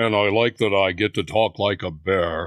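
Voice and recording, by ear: A put-on character voice from a man, fairly low in pitch, at a moderate pace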